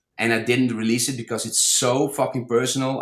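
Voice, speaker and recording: A man with a non-native accent. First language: not English. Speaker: DJ and music producer. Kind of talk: podcast interview. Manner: halting, repeats words.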